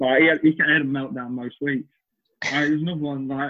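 A man's fairly high-pitched voice in a Lancashire accent, flat and monotone in intonation. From northern England, Chorley, Lancashire. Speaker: professional cricketer. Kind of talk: casual chat.

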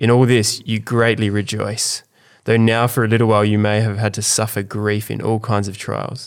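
On a very clean recording with a silent background, a man with an Australian accent and a fairly low pitch speaks in a monotone, flat intonation at a moderate pace. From South Australia. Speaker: podcast host, church leader. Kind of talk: casual chat with prayer.

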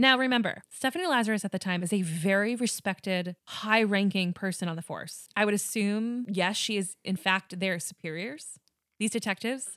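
Speaking with a Long Island accent, a woman uses lively intonation, a bright, sharp tone and a fairly high pitch at a moderate pace, on a very clean recording with a silent background and a dry, close sound with no echo. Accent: Long Island New York. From Long Island, New York. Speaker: true crime podcast host. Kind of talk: storytelling true crime narration with casual chat.

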